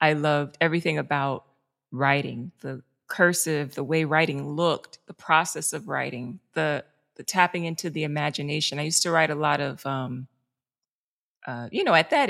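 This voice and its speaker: A woman with a New York accent talks at a moderate pace and a very deep, low pitch, with big swings in loudness in a dry, close sound with no echo. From New York City, South Bronx. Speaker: journalist and producer. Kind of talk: casual interview.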